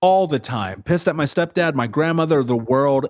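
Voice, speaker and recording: In a very clean recording with a silent background, a man with an American accent speaks at a moderate pace in an animated tone with lively intonation. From US Midwest, Indianapolis. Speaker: motivational speaker, entrepreneur. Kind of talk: interview testimony.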